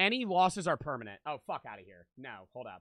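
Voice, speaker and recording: A man's bright, sharp, animated tone at a fairly quick pace, with a quiet background and a dry sound with no echo. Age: 20s. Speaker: gaming streamer. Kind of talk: live game stream commentary.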